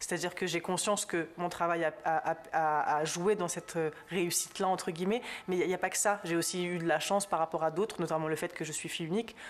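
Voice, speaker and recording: Speaking at a very fast pace, a woman keeps her fairly low pitch in fairly even intonation. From southern France. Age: young. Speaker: journalist. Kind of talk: interview. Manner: hesitant.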